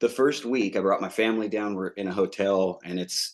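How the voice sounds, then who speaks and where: An unremarkable speaking voice carries a fairly even intonation against a quiet background. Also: man. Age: 30s. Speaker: entrepreneur, drilling company owner. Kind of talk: casual interview.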